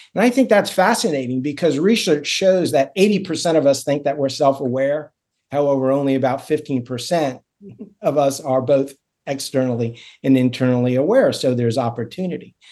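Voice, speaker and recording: With an American accent, a man speaks in a dark, mellow tone at a fairly high pitch, keeping a moderate pace and ordinary pitch variation. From Florida, Miami. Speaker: surgeon and executive coach. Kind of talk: interview conversation.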